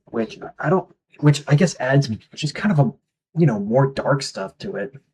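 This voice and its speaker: At a moderate pace, a man talks in a fairly high pitch, somewhat breathy, with lively intonation. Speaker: music reviewer. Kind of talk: album review. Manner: halting, many fillers; casual.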